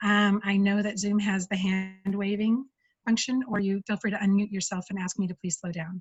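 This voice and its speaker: In an American accent, a woman speaks at a medium pitch with a somewhat breathy voice. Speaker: UX engineer giving a talk. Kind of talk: conference talk. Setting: video call. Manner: fast.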